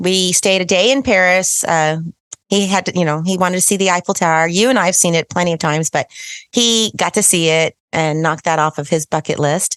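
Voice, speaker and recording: In a quiet background with a dry, close sound and no echo, a woman with a fairly low pitch speaks at a fairly quick pace, her loudness very even and her pitch varying in an ordinary way. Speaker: podcast co-host, military brat. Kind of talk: casual chat. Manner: fast; animated.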